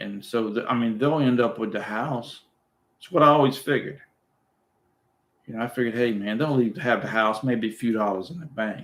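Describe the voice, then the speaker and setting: At a fairly quick pace with long, frequent pauses, a man speaks at a medium pitch with ordinary pitch variation and big swings in loudness. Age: 60s. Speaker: retired YouTuber hosting live chat. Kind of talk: casual livestream chat. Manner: halting, repeats words.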